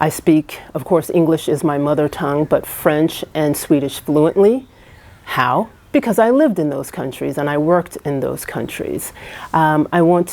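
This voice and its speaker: Against noticeable background noise, a woman with a very deep, low pitch talks with ordinary pitch variation. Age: 50s. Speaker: travel vlogger. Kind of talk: casual vlog monologue. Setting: indoors on a rainy evening. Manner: hesitant with many fillers.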